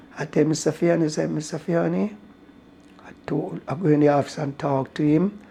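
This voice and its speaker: This man has a Jamaican accent and a fairly high pitch. His tone is dark and mellow, and he moves at a moderate pace. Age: 80s+. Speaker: racehorse groom. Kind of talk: interview answer.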